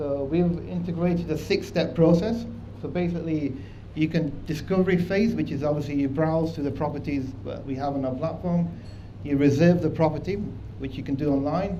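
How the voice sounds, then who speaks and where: A man's fairly high voice at a fairly quick pace, with ordinary pitch variation and audible room echo. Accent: strong Manchester. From northern England, Manchester. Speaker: proptech company presenter. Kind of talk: conference presentation.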